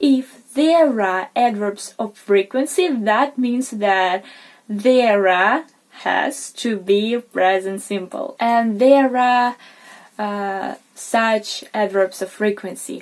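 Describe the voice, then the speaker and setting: A woman speaks at a very slow pace in a fairly high voice with ordinary pitch variation. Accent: non-native. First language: not English. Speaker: English teacher, video creator. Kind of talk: tutorial. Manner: informal, slightly halting.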